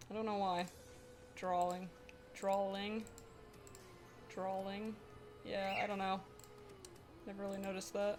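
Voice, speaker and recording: Over music in the background, a woman with an American accent talks at a fairly slow pace in a monotone, flat delivery. She leaves long, frequent pauses, and the room echo is audible. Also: medium pitch for a woman. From Pennsylvania, later Florida. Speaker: streamer and digital artist. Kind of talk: casual live stream chat.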